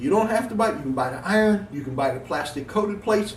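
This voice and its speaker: A man with an American accent talks with very wide pitch swings. Audible room echo and noticeable background noise fill the recording. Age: 60s. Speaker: gym owner and weightlifting vlogger. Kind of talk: casual vlog monologue. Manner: emphatic, lecturing.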